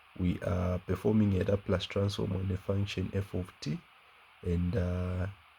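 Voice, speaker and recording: A man's very deep, low voice, somewhat breathy and dark and mellow in tone, flat and monotone at a fairly slow pace. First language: not English. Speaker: math teacher. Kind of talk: tutorial. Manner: halting, many fillers.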